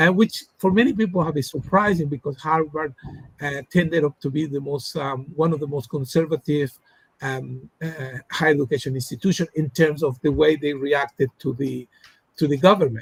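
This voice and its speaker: A man's somewhat breathy, fairly high voice in a Spanish accent, at a moderate pace with ordinary pitch variation, in a dry, close sound with no echo. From Latin America. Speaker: academic researcher. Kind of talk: interview discussion. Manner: halting, many fillers.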